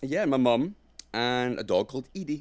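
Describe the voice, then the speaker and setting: In a Glaswegian accent, the speaker uses ordinary pitch variation on a very clean recording with a silent background. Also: man. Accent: Glaswegian Scottish. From Scotland, Glasgow. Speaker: actor and director. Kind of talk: casual chat. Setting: studio.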